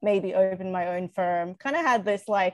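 A woman speaks with ordinary pitch variation. The sound is dry with no echo and the background is quiet. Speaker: guest. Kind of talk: interview answer. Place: home room. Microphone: video call.

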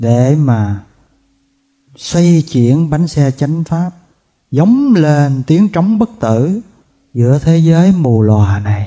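A man with a dark, mellow tone speaks very slowly and somewhat breathily, leaving long, frequent pauses over a quiet background. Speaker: monk teacher. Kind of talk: sermon. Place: hall. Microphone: podium.

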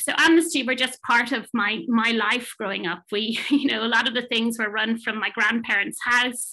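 The woman speaks at a moderate pace and fairly high pitch in a bright, sharp tone. Her pitch varies in an ordinary way, and the background is quiet. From Ireland. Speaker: management consultant and psychotherapist; panelist. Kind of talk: talk presentation; panel discussion answer. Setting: online webinar. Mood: earnest, thoughtful. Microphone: webcam.

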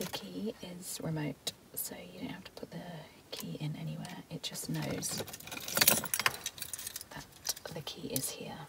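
A woman whispers at a fairly slow pace, with vocal fry in her voice.

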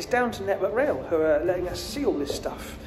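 Clear music plays behind a man talking. He keeps a moderate pace with ordinary pitch variation. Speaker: TV presenter. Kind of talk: casual vlog chat. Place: empty room. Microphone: phone near.

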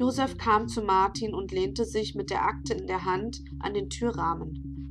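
Fairly slow delivery from a woman, backed by music. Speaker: novelist reading her own book. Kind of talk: reading aloud. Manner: hesitant with fillers in intro.

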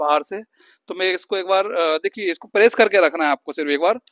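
This man has a high pitch and fairly even intonation, speaking at a moderate pace. The sound is dry with no echo over a quiet background. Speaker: YouTuber doing product unboxing. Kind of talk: unboxing review tutorial.

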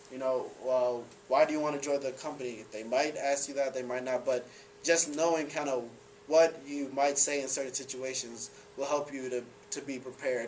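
A man talks at a moderate pace with fairly even intonation over light background noise. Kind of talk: presentation talk. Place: classroom. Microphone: camera far.

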